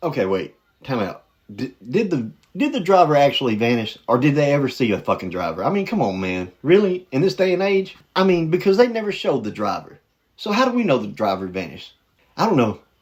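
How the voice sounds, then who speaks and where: A man with a Southern US accent at a fairly quick pace, fairly high in pitch, with very wide pitch swings. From US South. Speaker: reaction video host. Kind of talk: casual commentary reacting to videos. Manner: animated.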